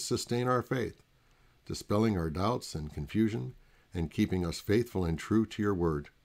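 A man's plain, everyday voice, fairly low in pitch, at a moderate pace with ordinary pitch variation, in a very clean recording with a silent background. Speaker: pastor. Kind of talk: prayer; devotional talk with scripture reading.

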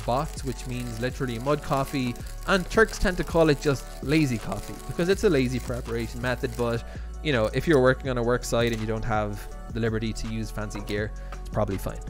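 Speaking at a fairly quick pace, a man is heard with clear music behind him. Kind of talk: tutorial. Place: kitchen.

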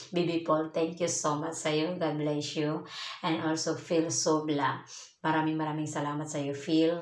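The speech comes at a fairly slow pace in a monotone, flat intonation, with audible room echo. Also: woman, very deep, low pitch for a woman. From Philippines. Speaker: vlogger, overseas Filipino worker; vlogger. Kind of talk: casual vlog talk to viewers. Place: home room. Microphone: phone near.

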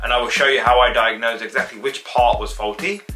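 A man at a very fast pace, with music in the background. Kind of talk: casual vlog chat. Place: home room.

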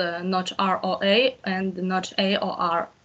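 A woman's very slow, monotone, flat delivery. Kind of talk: explaining a solution in class. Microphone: video call.

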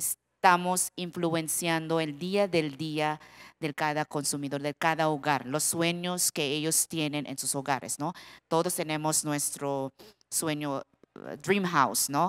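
A woman with a Filipino accent speaks at a very slow pace in a very deep, low pitch with fairly even intonation. The background is quiet. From Philippines. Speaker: product development director, panelist; panelist. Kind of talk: panel discussion on stage. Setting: conference stage with audience. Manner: halting. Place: stage. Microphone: handheld.

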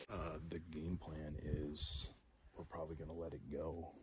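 Over noticeable background noise, a man speaks slowly with a very deep, low pitch and vocal fry, in a dry sound with no echo. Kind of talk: casual vlog chat. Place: open country. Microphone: phone near.

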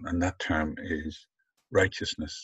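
Against a quiet background, a man speaks at a fairly slow pace. The sound is dry with no echo. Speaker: lecturer on scripture. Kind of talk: lecture. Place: home room. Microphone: webcam.

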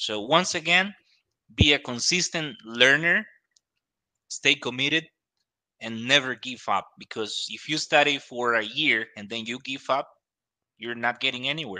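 A man with a Spanish accent speaks at a fairly slow pace, with long, frequent pauses and big swings in loudness. His tone is bright and sharp, his pitch varies in an ordinary way, and the background is quiet. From Costa Rica. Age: 20s. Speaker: English teacher. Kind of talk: casual advice talk. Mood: encouraging, motivational. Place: studio. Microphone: studio mic.

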